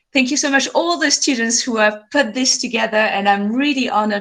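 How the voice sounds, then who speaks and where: In a French accent, a woman speaks at a fairly high pitch. Her pitch varies in an ordinary way. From France, French Alps. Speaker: glaciologist. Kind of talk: lecture. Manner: animated.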